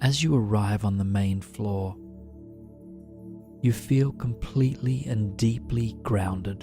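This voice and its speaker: Music plays behind a man speaking very slowly at a fairly low pitch. He leaves long, frequent pauses and uses ordinary pitch variation. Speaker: guided sleep meditation narrator. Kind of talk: guided sleep meditation. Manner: slow, calm, soothing.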